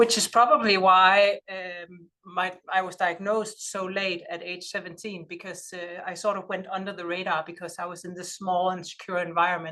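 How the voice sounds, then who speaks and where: This speaker has a Danish accent and a monotone, flat intonation, with big swings in loudness. The pace is moderate, with hardly any pauses. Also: woman, medium pitch for a woman. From Denmark. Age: 40s. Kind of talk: lecture. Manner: halting.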